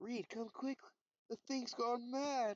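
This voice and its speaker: The voice is a put-on character. Its pitch is fairly high. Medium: read story.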